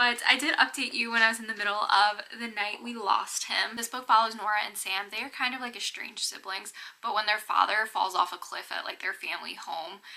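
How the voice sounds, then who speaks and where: With hardly any pauses, a woman speaks at a fairly high pitch, with ordinary pitch variation and big swings in loudness. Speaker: book vlogger. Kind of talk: casual vlog talk. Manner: casual, filler-heavy.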